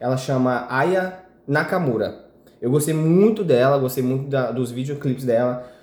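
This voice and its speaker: Over noticeable background noise and audible room echo, a man with a fairly high pitch speaks at a moderate pace. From Minas Gerais, Brazil. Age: 20s. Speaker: podcast guest, friend of host. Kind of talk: casual chat.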